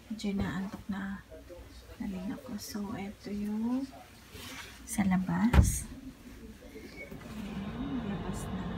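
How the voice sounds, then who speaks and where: Soft-spoken and medium-pitched, a woman talks at a very slow pace. Noticeable background noise is present. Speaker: vlogger, mother. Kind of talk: casual vlog.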